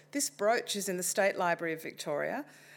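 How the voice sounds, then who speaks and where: In a very clean recording with a silent background, a woman with an Australian accent talks at a moderate pace with lively intonation. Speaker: non-fiction writer and former journalist. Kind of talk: talk to a live audience. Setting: library event with audience. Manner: hesitant, many ums and uhs.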